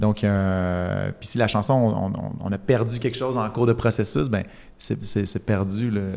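This man has a Quebec accent and a fairly low pitch, speaking at a fairly slow pace with fairly even intonation. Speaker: musician. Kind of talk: casual interview chat.

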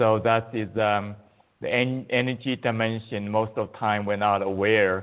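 A man speaks with a Chinese accent in a monotone, flat intonation. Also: fairly low pitch for a man, moderate pace. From China. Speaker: qigong teacher. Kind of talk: interview.

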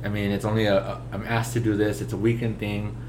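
A man with a fairly low voice speaks at a fairly quick pace, and the recording has audible room echo and noticeable background noise. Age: 20s. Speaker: podcast guest, musician. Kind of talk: casual chat.

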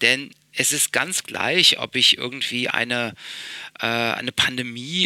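Amid noticeable background noise, a man speaks fairly slowly in a dry, close sound with no echo. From Berlin, Germany. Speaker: investor and founder. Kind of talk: interview. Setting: office in a palace, remote call.

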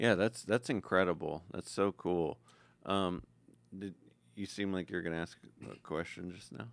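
With big swings in loudness and long, frequent pauses, a man talks in a very deep, low pitch. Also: ordinary pitch variation, moderate pace. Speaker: podcast host. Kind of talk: casual chat. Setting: studio. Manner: animated.

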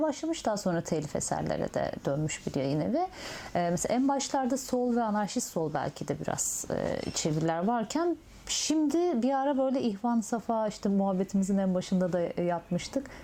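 At a moderate pace, the voice keeps its loudness very even while its pitch swings very widely. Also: woman. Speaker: interviewer. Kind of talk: oral history interview.

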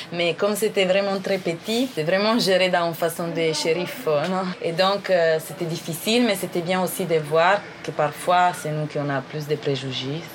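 A woman with an Italian accent speaks at a fairly low pitch and a fairly slow pace. Her pitch varies in an ordinary way over noticeable background noise. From northern Italy. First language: Italian (speaking French). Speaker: anthropologist and aid worker. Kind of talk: interview about her life. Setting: hostel in a Brazilian village. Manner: hesitant, many fillers.

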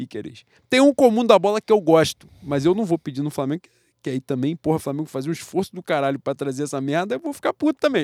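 In a very clean recording with a silent background and a dry, close sound with no echo, a man talks at a very fast pace with lively intonation. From Rio de Janeiro, Brazil. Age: 30s. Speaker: football podcast co-host. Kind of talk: casual chat.

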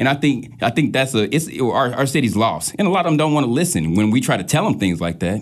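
A man with an American accent talks at a very fast pace in a medium pitch, with vocal fry. His pitch swings very widely while his loudness stays very even. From St. Louis, Missouri; later Wichita, Kansas. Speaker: DJ, rapper and producer. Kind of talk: casual interview.

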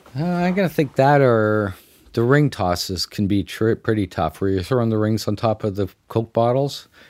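In a Canadian accent, a man with a normal speaking voice and medium pitch talks at a moderate pace with lively intonation, captured on a very clean recording with a silent background. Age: 50s. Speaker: fair midway executive. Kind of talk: interview storytelling.

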